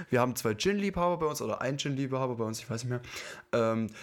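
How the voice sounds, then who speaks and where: A man talks with lively intonation at a medium pitch in a normal speaking voice. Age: 20s. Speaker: podcast co-host. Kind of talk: casual chat.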